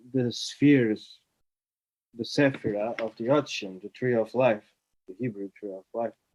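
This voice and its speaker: With a Portuguese accent, a man talks at a fairly slow pace with fairly even intonation. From Portugal. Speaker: writer and artist. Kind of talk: online talk. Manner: halting, many fillers.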